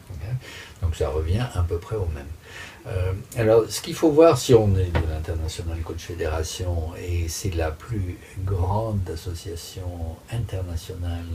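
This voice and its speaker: The voice moves at a very slow pace with ordinary pitch variation and big swings in loudness, over noticeable background noise. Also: man, very deep, low pitch for a man. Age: 60s. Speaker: master coach. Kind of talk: interview answers, explanatory. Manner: hesitant, many filler sounds.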